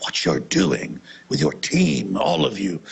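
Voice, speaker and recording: A man puts on a character voice, pitched very deep and low, and delivers it at a fairly slow pace. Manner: appreciative, polite.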